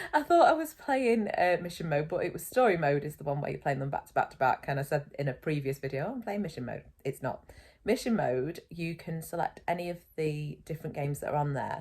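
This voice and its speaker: A woman speaks with a British accent. Her pitch sits fairly low. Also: lively intonation, fairly quick pace. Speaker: gaming video creator. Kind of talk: casual gameplay commentary.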